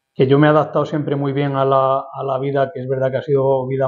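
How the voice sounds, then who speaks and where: Speaking at a fairly quick pace, a man keeps a medium pitch in a monotone, flat intonation. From Spain, Madrid. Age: 50s. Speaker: lawyer and urban planning expert. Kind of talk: interview. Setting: office.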